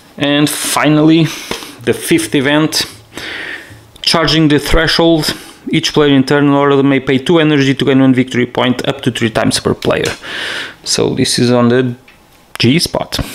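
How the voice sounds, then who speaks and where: A man speaks at a moderate pace with long, frequent pauses, fairly high pitch, monotone, flat intonation and very even loudness, over noticeable background noise. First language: not English. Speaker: board game player showing gameplay. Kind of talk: solo board game playthrough tutorial. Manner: halting.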